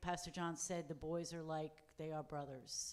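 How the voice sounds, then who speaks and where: A woman speaks with a fairly low pitch and fairly even intonation. Her pace is fairly slow. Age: 60s. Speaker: mission trip member. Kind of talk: church testimony. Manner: halting.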